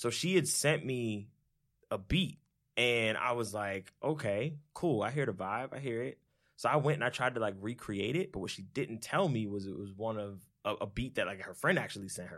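In a very clean recording with a silent background, a man with a plain, everyday voice and a medium pitch speaks at a moderate pace with lively intonation. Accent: American. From Orlando, Florida. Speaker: music producer. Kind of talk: casual chat.

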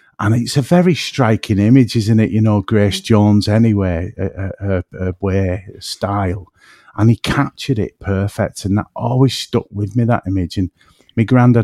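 A man's fairly low pitch and dark, mellow tone, ordinary pitch variation, moderate pace and a dry, close sound with no echo. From northwest England, between Manchester and Liverpool. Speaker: podcaster and artist. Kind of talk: casual chat.

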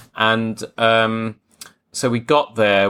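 A man's medium-pitched voice with a South London accent, in a very clean recording with a silent background. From Croydon, south London, England. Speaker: podcast host, tailor. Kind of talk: casual interview chat.

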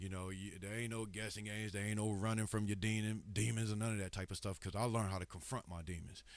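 Talking very fast in a Southern US accent, a man keeps a fairly low pitch and monotone, flat intonation. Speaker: hip hop artist and rapper. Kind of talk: casual interview chat.

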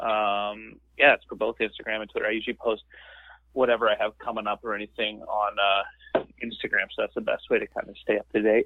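A man with a rural Canadian accent speaks at a fairly quick pace. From rural Ontario, Canada. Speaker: stand-up comedian. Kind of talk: casual interview.

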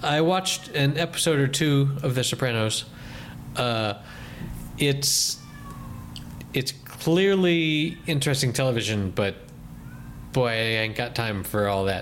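Over noticeable background noise, a man with a medium-pitched voice talks at a fairly slow pace with lively intonation, very even loudness, and long, frequent pauses. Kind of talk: casual chat.

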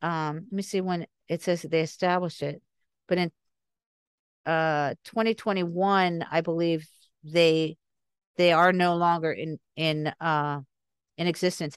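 At a moderate pace and with fairly even intonation, the voice comes through dry and close with no echo, broken by long, frequent pauses against a quiet background. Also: woman. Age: 60s. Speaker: podcast guest on recovered memories. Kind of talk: interview.

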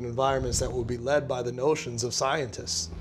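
Medium-pitched male speech at a fairly quick pace with ordinary pitch variation, amid noticeable background noise. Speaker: actor and spoken word poet. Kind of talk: panel roundtable discussion.

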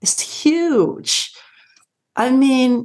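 Lively intonation in a Dutch accent. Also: woman. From Netherlands. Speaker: life coach and physical therapist. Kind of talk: interview.

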